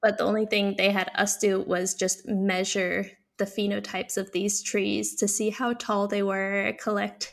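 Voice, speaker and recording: In a very clean recording with a silent background, a woman of medium pitch speaks at a fairly slow pace with vocal fry. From Netherlands and US (North Carolina), moved at 12. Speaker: PhD student in immunology. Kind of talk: interview. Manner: energetic.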